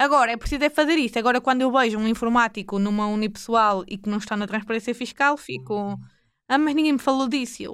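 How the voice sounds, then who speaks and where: Speaking very fast with a northern Portuguese accent, a woman uses a fairly high pitch and ordinary pitch variation in a very clean recording with a silent background. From northern Portugal, Porto area (Maia). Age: 20s. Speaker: accountant. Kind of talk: casual interview. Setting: studio.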